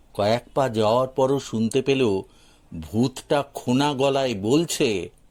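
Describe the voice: Someone reads aloud plainly. The pitch moves up and down in an ordinary way.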